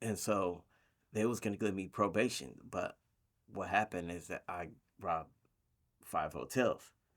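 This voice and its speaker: In a very clean recording with a silent background, a man with a fairly low pitch speaks at a moderate pace, with ordinary pitch variation and long, frequent pauses. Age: 50s. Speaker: former bank robber, carpenter foreman, boxing coach. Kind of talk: interview answer.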